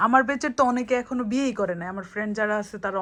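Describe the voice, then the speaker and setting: Against a quiet background, a woman talks in a normal speaking voice with ordinary pitch variation. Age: 20s. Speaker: vlogger. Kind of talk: casual chat.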